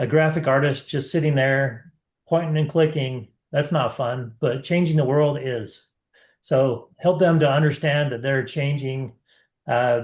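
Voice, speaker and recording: A somewhat breathy male voice, fairly high in pitch, with fairly even intonation and a fairly slow pace. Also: quiet background. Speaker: marketing webinar host. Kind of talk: webinar presentation.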